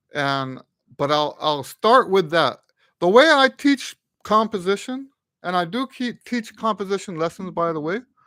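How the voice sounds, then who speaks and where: A man with a high pitch uses a raised, projected voice, bright and sharp in tone, with very wide pitch swings. The sound is dry with no echo, and the background is quiet. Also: moderate pace. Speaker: trumpet teacher and composer; music teacher. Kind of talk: live stream Q&A. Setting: live stream. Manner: halting, stuttering today. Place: home room. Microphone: studio mic.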